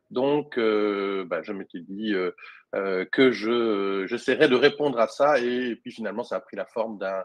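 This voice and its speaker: Recorded dry and close with no echo over a quiet background, a man with a Belgian accent speaks fairly slowly at medium pitch, with ordinary pitch variation and big swings in loudness. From Belgium. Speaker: social media consultant and trainer. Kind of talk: webinar interview. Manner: hesitant, many fillers.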